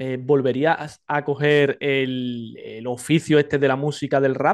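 Against a quiet background, a man with a fairly high pitch talks at a fairly slow pace in a monotone, flat intonation. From Spain. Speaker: podcast interviewer. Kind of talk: casual interview. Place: home room. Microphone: studio mic.

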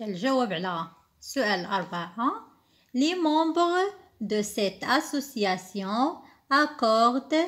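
With a Moroccan accent, a woman speaks very slowly at a high pitch. Her pitch swings very widely. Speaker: teacher. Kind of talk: tutorial.

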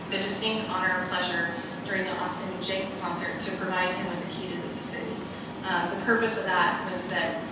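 A woman talks fairly quickly through loud background noise and audible room echo. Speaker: city official giving report. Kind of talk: formal meeting report. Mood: pleased, appreciative. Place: hall.

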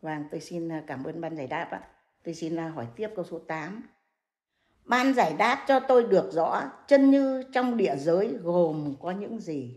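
A woman at a fairly slow pace and fairly low pitch, with very wide pitch swings, big swings in loudness and a quiet background. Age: 80s+. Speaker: elderly questioner; questioner. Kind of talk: reading questions aloud. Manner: polite, formal. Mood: polite, formal. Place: home room.

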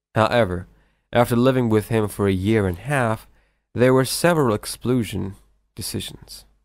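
A man with an unremarkable speaking voice talks at a moderate pace, medium in pitch with ordinary variation. The recording is very clean, with a silent background. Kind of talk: documentary-style story narration.

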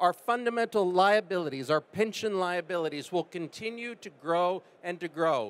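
A man with a high pitch talks at a moderate speed, his intonation lively. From United States. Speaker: life science investor. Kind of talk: panel discussion. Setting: stage with audience. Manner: fluent, polished. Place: stage. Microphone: handheld.

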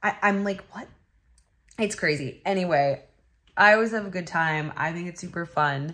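The background is quiet as a woman speaks. Her voice is fairly low-pitched, with ordinary pitch variation. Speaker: vlogger. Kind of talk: casual vlog chat. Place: home room. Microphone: phone near.

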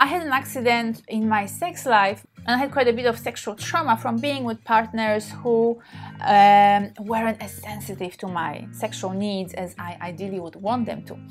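At a fairly slow pace, the speaker uses lively intonation with big swings in loudness over faint music in the background. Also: woman. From Poland. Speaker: sex therapist and tantra practitioner. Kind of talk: casual talk to camera. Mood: warm, open, personal. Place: home room. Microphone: phone near.

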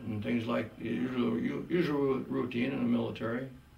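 A man with lively intonation, with audible room echo and music in the background. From Wisconsin. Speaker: war veteran. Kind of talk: interview answer. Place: hall.

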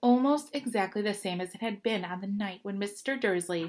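This clip is plain reading aloud.

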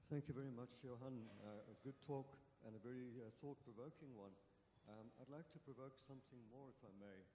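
A man with a dark, mellow tone talks at a fairly quick pace with fairly even intonation, with audible room echo and light background noise. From South Africa. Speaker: conference audience member. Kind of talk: audience question. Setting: conference hall with audience. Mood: polite, probing. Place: hall. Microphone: handheld.

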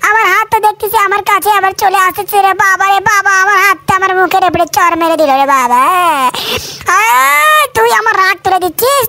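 A man does a cartoonish character voice at an extremely high pitch. He keeps a moderate pace. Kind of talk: comic cartoon dub.

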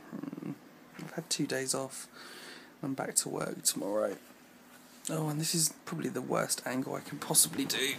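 A man talks at a moderate pace with long, frequent pauses. Light background noise sits behind him. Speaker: vlogger. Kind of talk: casual vlog chat. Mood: annoyed in part. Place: home room. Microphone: phone near.

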